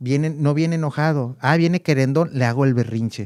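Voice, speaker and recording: On a very clean recording with a silent background and a dry, close sound with no echo, a man speaks at a moderate pace in a fairly high pitch, his tone dark and mellow and his intonation lively. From Mexico City. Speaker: communication coach. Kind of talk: interview answer.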